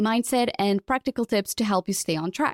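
A woman speaks at a fairly quick pace with a fairly high pitch. The sound is dry and close, with no echo. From Portugal. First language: Portuguese. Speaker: podcast host. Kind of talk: casual interview. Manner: fast talker.

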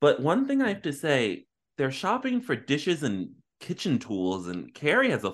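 Against a quiet background, a man with a fairly high pitch speaks at a fairly slow pace, with vocal fry and very wide pitch swings. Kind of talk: casual chat.

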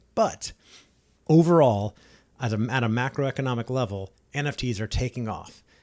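With a plain, everyday voice, a man speaks at medium pitch and ordinary pitch variation in a very clean recording with a silent background. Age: 40s. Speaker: podcast host, entrepreneur and coach. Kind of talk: solo podcast monologue. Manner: casual, conversational.

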